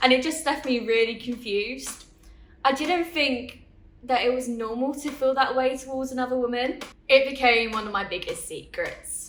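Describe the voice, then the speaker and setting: A woman's high-pitched voice, with ordinary pitch variation, moves at a moderate pace through audible room echo. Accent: Essex. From Essex, England. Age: 20s. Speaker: interviewee. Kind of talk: testimony.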